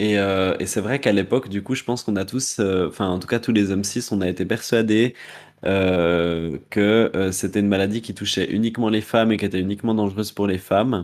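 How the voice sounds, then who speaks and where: A man with a plain, everyday voice speaks at a fairly quick pace with a fairly low pitch. His intonation stays fairly even on a very clean recording with a silent background. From Neuchâtel, Switzerland. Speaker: drag queen podcast co-host. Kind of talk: casual chat.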